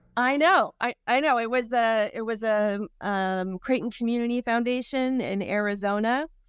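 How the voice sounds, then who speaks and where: A woman with a plain, everyday voice and a fairly high pitch speaks at a moderate pace with ordinary pitch variation and hardly any pauses, against a quiet background. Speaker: foundation executive director. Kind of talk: casual interview. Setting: video call from art gallery office.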